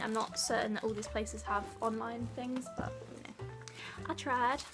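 Fairly quick speech from a woman over clear music in the background. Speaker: vlogger. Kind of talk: casual vlog chat. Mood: upbeat and relaxed. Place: home room. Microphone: camera far.

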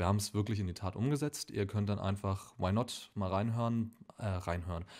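The recording is very clean with a silent background as a man with a fairly low pitch speaks at a moderate pace. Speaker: film podcast host. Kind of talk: casual announcement to camera.

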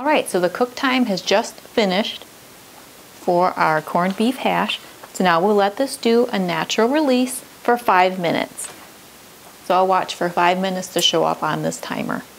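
Light background noise behind a woman's voice, at a moderate pace. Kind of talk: tutorial. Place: kitchen.

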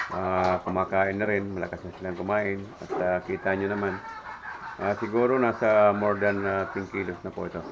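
Noticeable background noise sits behind a man speaking at a moderate pace. His fairly low voice stays monotone and flat. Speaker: pig farmer and vlogger. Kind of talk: casual vlog tutorial. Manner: hesitant with many fillers.

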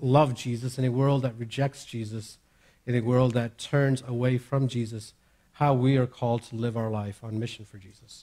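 A man speaks with fairly even intonation at a moderate pace. The background is quiet. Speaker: preacher. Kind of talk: sermon. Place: church. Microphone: headset.

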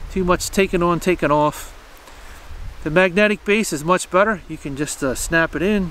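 This man's voice sits high for a man and moves at a moderate pace with ordinary pitch variation, the sound dry with no echo over light background noise. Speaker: camera reviewer. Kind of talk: casual review talk. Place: forest. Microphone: camera far.

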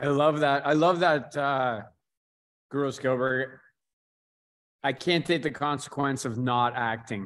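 The voice has a fairly bright tone and ordinary pitch variation. It moves at a fairly slow pace with long, frequent pauses. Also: man, medium pitch for a man.

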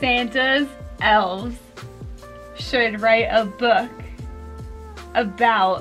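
The speech has long, frequent pauses, and faint music plays in the background. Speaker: couples vlogger. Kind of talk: casual couples challenge vlog talk to camera. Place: home room.

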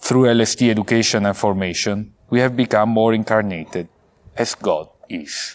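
A man speaks in an Italian accent at a moderate pace. His voice is fairly low, with ordinary pitch variation. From Italy, Vicenza; Italy. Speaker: priest, theology graduate; priest. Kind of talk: valedictory speech. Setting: pre-recorded video, outdoors at a seminary. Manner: formal. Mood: warm, grateful, earnest. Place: garden.

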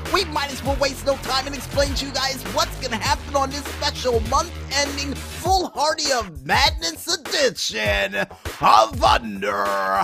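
A man talks with an upbeat, energetic tone and hardly any pauses. Music plays in the background. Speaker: podcast host. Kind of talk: radio-style show intro.

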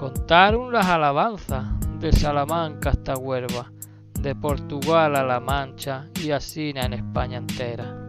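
In an Extremaduran accent, a man speaks at a very slow pace over music in the background. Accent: Extremaduran (castúo). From Extremadura, Spain. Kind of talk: poetry reading. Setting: outdoors.

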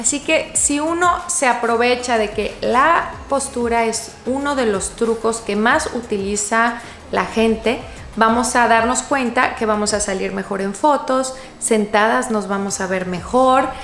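A woman speaks at a fairly slow pace. There is audible room echo and light background noise. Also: ordinary pitch variation. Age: 40s. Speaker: fashion youtuber. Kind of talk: tutorial. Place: home room.

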